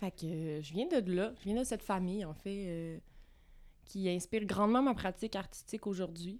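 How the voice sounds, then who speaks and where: A woman with an unremarkable speaking voice talks at a moderate pace and medium pitch with ordinary pitch variation, on a very clean recording with a silent background. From Quebec, Vaudreuil-Dorion near Montreal. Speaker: visual artist. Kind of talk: casual interview. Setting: recording space with coffee.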